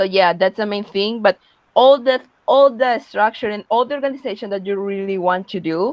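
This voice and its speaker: A woman with a Spanish accent, medium pitch, ordinary pitch variation and a moderate pace. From Peru. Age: young. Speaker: young social entrepreneur. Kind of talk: webinar talk. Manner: halting, frequent repetitions and fillers.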